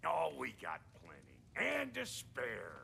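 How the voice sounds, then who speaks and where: A man puts on a raspy character voice, speaking at a fairly slow pace. Background noise is clearly audible. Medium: video game. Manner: brash, crude.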